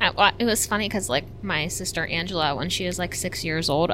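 A woman with an American accent, fairly quick pace and lively intonation, over noticeable background noise. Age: 30s. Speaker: content creator. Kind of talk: casual chat.

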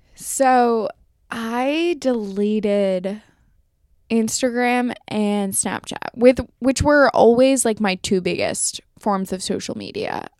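A woman's fairly high voice with an American accent, very slow in pace, with ordinary pitch variation. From New York City (Manhattan). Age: 20s. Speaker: podcast guest. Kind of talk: casual chat.

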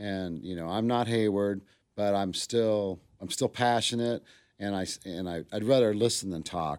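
On a very clean recording with a silent background, an ordinary speaking voice moves at a fairly slow pace with ordinary pitch variation. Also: man, fairly low pitch for a man. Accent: American. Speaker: barbecue restaurant owner. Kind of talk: casual chat.

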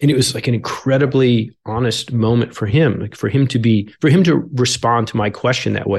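A somewhat breathy male voice with an American accent, moderate pace and ordinary pitch variation. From upstate New York, Albany. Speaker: paramedic and author. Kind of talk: interview conversation.

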